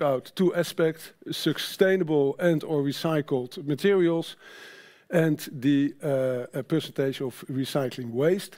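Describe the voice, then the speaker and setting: Over a quiet background, a man with a Dutch accent speaks at a fairly high pitch with ordinary pitch variation. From Netherlands. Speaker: sustainability manager at a trade association; conference presenter. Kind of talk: conference presentation. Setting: stage with audience. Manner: halting. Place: stage.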